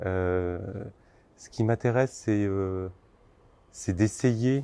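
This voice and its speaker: Pitched fairly low, a man speaks with fairly even intonation and a dark, mellow tone. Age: 50s. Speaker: designer and sculptor. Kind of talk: interview. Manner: halting, many filler words.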